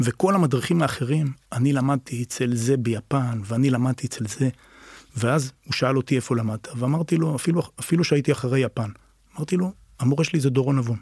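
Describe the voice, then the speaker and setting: A man speaks at a moderate pace in a medium-pitched, somewhat breathy voice with ordinary pitch variation. The sound is dry and close with no echo, on a very clean recording with a silent background. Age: 50s. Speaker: martial arts teacher. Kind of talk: casual interview chat.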